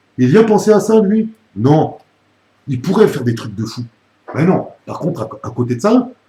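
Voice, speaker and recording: Speaking at a fairly slow pace with long, frequent pauses, a man with a high pitch and a dark, mellow tone swings his pitch very widely and his loudness in big jumps. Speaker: YouTuber commenting on another creator. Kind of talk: angry video rant. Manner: animated.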